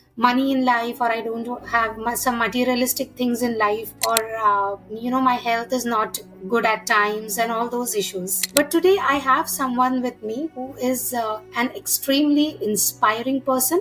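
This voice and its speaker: A high-pitched female voice with music in the background. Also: ordinary pitch variation, moderate pace. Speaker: podcast host, retired air force officer. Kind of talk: podcast interview questions.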